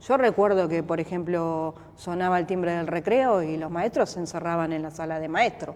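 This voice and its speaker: With hardly any pauses, a woman speaks at a moderate pace. Her pitch is fairly low, with ordinary variation. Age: 40s. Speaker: boxer. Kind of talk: interview. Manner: hesitant, repetitive fillers.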